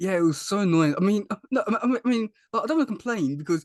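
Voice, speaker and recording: Man with a strong British accent, lively intonation and a fairly quick pace, the sound dry and close with no echo. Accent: thick British. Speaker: YouTuber and podcast host. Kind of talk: casual interview chat. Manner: halting, many repetitions.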